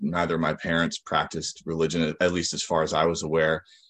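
In an American accent, a man speaks with a very deep, low pitch over a quiet background. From Western Massachusetts. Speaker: recovered alcoholic speaker. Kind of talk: recovery testimony talk. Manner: halting, many fillers and repetitions.

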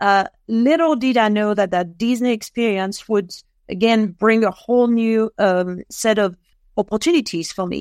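In a very clean recording with a silent background, a woman with a French accent speaks at a moderate pace and fairly high pitch with ordinary pitch variation. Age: 50s. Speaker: author and former retail manager. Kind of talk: casual interview.

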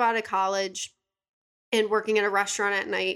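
A woman's bright, sharp voice at a moderate pace, on a very clean recording with a silent background. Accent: Western New York. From Buffalo, New York, US. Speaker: yoga instructor and assistant. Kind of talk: casual chat.

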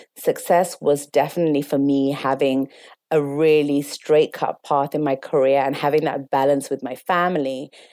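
A woman's very deep, low voice, dark and mellow in tone, in an East London accent, with flat, monotone intonation at a moderate pace. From London, England. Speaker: interview guest sharing personal story. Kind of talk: emotional personal testimony.

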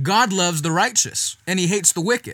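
A man speaks in a high, raised, projected voice with an animated, bright and sharp tone. The recording is very clean, with a silent background. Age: 20s. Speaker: evangelist guest-hosting youth podcast. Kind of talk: sermon-style podcast teaching.

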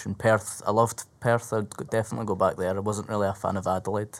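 A man at a medium pitch with a Scottish accent. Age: 20s. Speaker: stand-up comedian. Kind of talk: casual chat.

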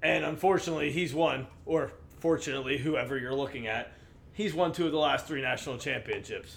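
With an American accent and an ordinary speaking voice, a man talks at a fairly quick pace, his pitch fairly high and its variation ordinary. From Pittsburgh, US Northeast. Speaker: sports podcast co-host. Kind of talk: casual chat.

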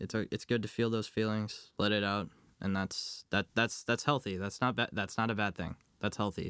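A man with a bright, sharp tone and fairly low pitch speaks at a moderate pace with fairly even intonation, in a dry, close recording that is very clean with a silent background. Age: young. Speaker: college student. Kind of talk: interview. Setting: at home. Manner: halting.

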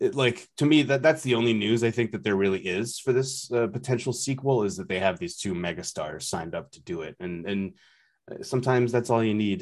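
A normal speaking voice from a man at medium pitch, with lively intonation and a fairly quick pace over a quiet background. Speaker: podcast host. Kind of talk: casual chat. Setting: remote recording.

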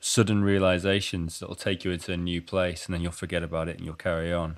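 A man's very deep, low-pitched voice at a fairly quick pace. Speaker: podcast host. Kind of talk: casual interview chat.

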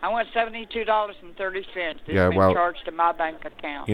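A woman speaks very slowly in a fairly low voice with ordinary pitch variation, over noticeable background noise. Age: 70s. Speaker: caller, customer seeking a refund. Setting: phone. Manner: indignant, insistent.

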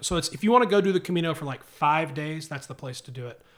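In a very clean recording with a silent background, a man with a normal speaking voice and a fairly high pitch shows ordinary pitch variation. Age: 30s. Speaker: podcaster and social media creator. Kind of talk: casual chat.

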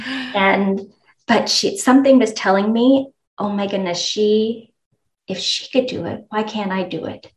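A normal speaking voice from a woman, pitched fairly high, with normal ups and downs in pitch. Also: fairly slow pace. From Moncton, Canada. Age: 40s. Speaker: entrepreneur and nonprofit founder. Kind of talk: podcast interview.

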